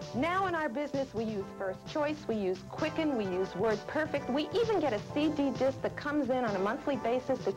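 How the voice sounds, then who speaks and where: The speaker moves at a fairly quick pace with very wide pitch swings as music plays in the background. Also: woman. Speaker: real estate office owner. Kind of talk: customer testimonial.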